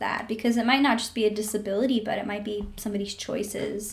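Over noticeable background noise, a woman with an American accent and a fairly high pitch talks at a very fast pace. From Tennessee, US South. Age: 20s. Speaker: podcast guest. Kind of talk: personal testimony.

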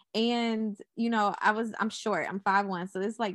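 A woman with an American accent talks at a fairly slow pace in an ordinary speaking voice, fairly high in pitch with ordinary pitch variation, the sound dry and close with no echo against a quiet background. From Charlotte, North Carolina. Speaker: media entrepreneur. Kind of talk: podcast interview.

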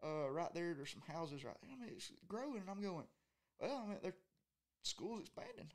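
A man with a Southern US accent talks at a fairly quick pace. His high voice makes very wide pitch swings. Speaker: college angler. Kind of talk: casual chat.

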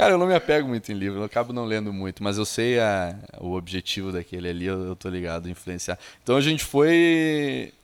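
Moving at a fairly quick pace, a man with a fairly low pitch makes very wide pitch swings. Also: very clean recording, silent background. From Caxias do Sul, southern Brazil. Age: 30s. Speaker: digital agency founder. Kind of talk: casual interview.

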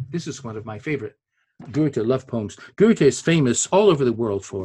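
The man's voice sits at a medium pitch and sounds somewhat breathy. He talks at a moderate pace. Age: 70s. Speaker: literature scholar and translator. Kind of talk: lecture. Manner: halting.

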